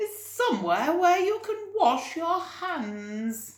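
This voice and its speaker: Using a put-on character voice, a woman speaks very slowly in an extremely high pitch with very wide pitch swings. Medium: read story.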